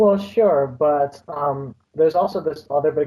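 Dark and mellow in tone, a man's voice has a somewhat breathy quality. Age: young. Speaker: college student. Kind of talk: casual chat.

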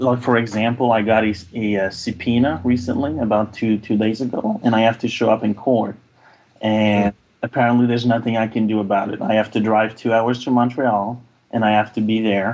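Monotone, flat intonation marks this man's delivery. His pitch is medium and his pace fairly quick. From Quebec. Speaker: caller. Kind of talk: call-in advice conversation. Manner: halting, repeats words.

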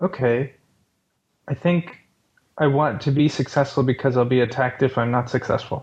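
A man speaks at a medium pitch, somewhat breathy, with fairly even intonation and very even loudness. His speech has long, frequent pauses. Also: moderate pace. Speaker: caller. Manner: hesitant, halting.

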